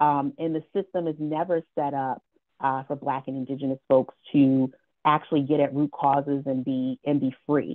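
A woman's very deep, low voice, monotone and flat, at a moderate pace over a quiet background. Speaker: community organization co-founder. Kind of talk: panel discussion. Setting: video call. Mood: warm, smiling. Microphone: earbuds.

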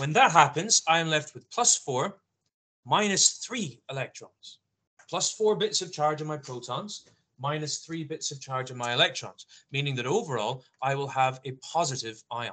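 A man's bright, sharp voice at a moderate pace, with lively intonation and big swings in loudness. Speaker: science teacher. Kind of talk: lecture. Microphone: video call.

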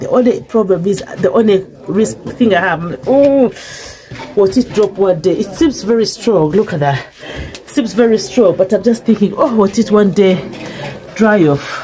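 With lively intonation, a woman speaks at a moderate pace over light background noise. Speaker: home cook vlogger. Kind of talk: casual vlog chat. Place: kitchen. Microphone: phone near.

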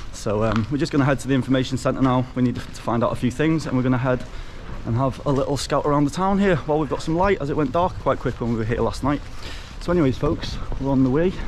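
Very fast speech from a man, light background noise behind him. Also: ordinary pitch variation. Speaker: travel vlogger. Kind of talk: casual vlog chat. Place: street. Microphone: phone near.

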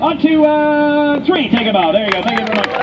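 Against noticeable background noise, a man with an English accent speaks at an extremely high pitch with lively intonation. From England. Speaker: street performer. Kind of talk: live street show crowd work. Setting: outdoors. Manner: joking, upbeat. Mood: joking, teasing. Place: street. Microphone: camera far.

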